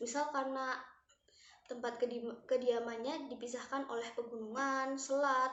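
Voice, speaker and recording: Audible room echo surrounds a woman with a high pitch. She speaks at a moderate pace with fairly even intonation. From Central Java, Banyumas region. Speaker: university student presenter. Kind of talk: student presentation.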